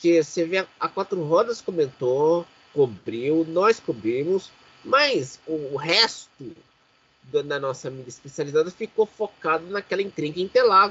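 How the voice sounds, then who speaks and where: This man's pitch sits high, with lively intonation. He takes a fairly slow pace. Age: 30s. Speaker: podcast host. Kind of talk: casual chat.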